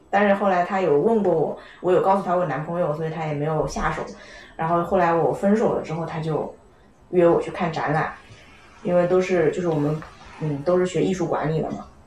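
The speaker goes at a fairly quick pace with fairly even intonation and long, frequent pauses. Noticeable background noise and audible room echo fill the recording. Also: woman, fairly low pitch for a woman. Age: 20s. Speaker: podcast guest. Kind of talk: casual chat.

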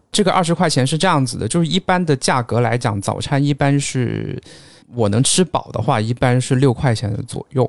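In a dry, close sound with no echo, a normal speaking voice moves at a fairly quick pace with lively intonation. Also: man, medium pitch for a man. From Guangdong, China. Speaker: data analyst. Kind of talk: casual chat.

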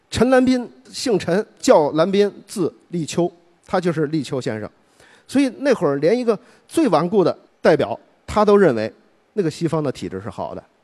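At a moderate pace, a man talks in a high voice with very wide pitch swings. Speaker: public speaker on history. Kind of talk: public speech.

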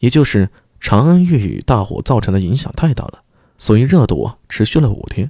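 Lively intonation and plain reading aloud, with quiet behind it.

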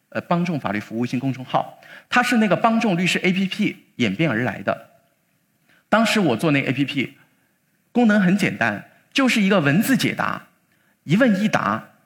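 On a very clean recording with a silent background, a man talks at a moderate pace in a high pitch with very wide pitch swings and long, frequent pauses. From Chongqing, China. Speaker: lawyer. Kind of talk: public talk.

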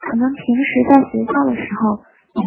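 Music in the background behind a woman's high-pitched voice at a moderate pace. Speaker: university student speaker. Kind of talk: prepared talk.

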